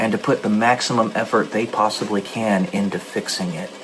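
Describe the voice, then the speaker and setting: Fairly even intonation at a fairly quick pace over noticeable background noise. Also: man. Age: 30s. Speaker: gaming streamer and author. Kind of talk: casual monologue during a game stream. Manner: halting.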